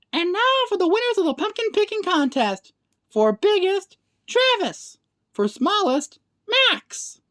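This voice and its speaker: A put-on, squeaky character voice, female-sounding and extremely high-pitched, at a fairly slow pace. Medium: read story. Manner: warm, bright.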